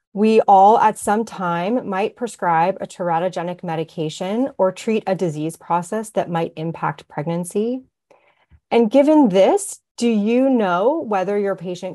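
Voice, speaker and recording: A woman speaks at medium pitch and a moderate pace, her tone dark and mellow. Her intonation is lively, and the background is quiet. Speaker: physician. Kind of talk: lecture. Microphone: webcam.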